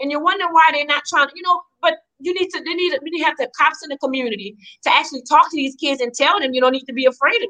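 A woman's raised, projected, high voice in a South Louisiana accent, at a very fast pace, with ordinary pitch variation and big swings in loudness. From Louisiana, Donaldsonville. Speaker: community group member. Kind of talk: live talk show discussion. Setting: video call.

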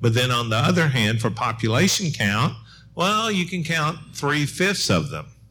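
Over music in the background and audible room echo, a man with an American accent talks at a moderate pace with lively intonation. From Middle Tennessee, US South (Murfreesboro). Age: 60s. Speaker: historian and professor. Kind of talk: panel discussion.

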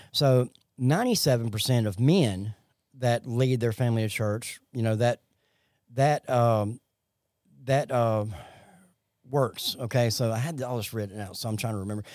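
A man in a Southern US accent, medium pitch and ordinary pitch variation, with long, frequent pauses, in a very clean recording with a silent background. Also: moderate pace. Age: 40s. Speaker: recovery podcast co-host. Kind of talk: casual faith-based recovery chat. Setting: Facebook Live podcast.

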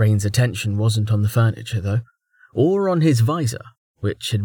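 Lively intonation in a natural reading voice, quiet backdrop

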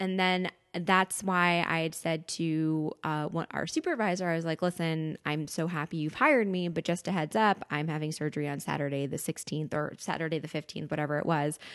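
Against a quiet background, a woman with an American accent and an unremarkable speaking voice speaks at a fairly quick pace with hardly any pauses, her fairly low pitch holding fairly even intonation. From New York, Westchester County. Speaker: media company employee, gastric surgery patient. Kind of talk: casual chat.

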